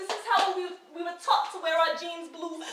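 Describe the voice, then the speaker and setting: A woman with a New York accent speaks at an extremely high pitch and a fairly quick pace, with audible room echo. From New York City, Washington Heights. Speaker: spoken word poet. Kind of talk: spoken word performance. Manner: rhythmic.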